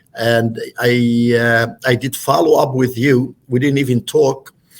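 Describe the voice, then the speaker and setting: The speech has a non-native accent and a very slow pace. Intonation is monotone and flat. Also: man. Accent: foreign. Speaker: real estate broker and company owner. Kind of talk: podcast interview. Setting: podcast studio. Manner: halting, many fillers.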